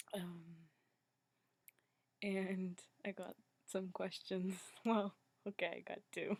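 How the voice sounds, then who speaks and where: A quiet woman's voice at medium pitch, very slow, with long, frequent pauses, monotone, flat intonation and a dry, close sound with no echo. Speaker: video blogger. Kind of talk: casual vlog chat. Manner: quiet, hushed.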